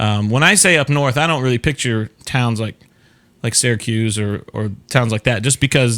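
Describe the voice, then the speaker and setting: In a very clean recording with a silent background, the speaker uses a Southern US accent at a moderate pace with ordinary pitch variation. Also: man, medium pitch for a man. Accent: Southern US, considered thick by northerners. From Florida, US South. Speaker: talk show host. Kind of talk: casual chat. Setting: live stream.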